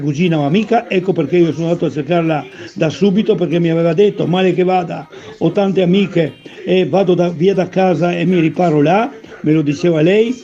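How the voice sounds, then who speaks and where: Noticeable background noise surrounds a man speaking at a fairly quick pace. His pitch is high, with ordinary variation. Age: 80s. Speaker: former athlete. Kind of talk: personal testimony. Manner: halting, with repetitions and restarts; emphatic.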